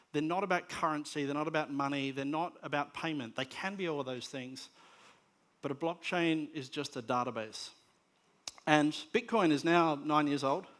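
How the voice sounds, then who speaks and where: With an Australian accent, a man speaks at a fairly high pitch in a very clean recording with a silent background. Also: ordinary pitch variation, moderate pace. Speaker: conference speaker on media technology. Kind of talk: conference presentation. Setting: stage with audience. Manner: hesitant with many fillers and repetitions.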